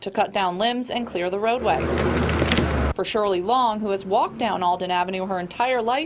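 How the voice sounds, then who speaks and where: Noticeable background noise sits behind a woman with an American accent. She talks fairly quickly in a medium pitch with ordinary pitch variation. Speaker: television news reporter. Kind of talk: TV news reporter stand-up and package narration. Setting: outdoors on location.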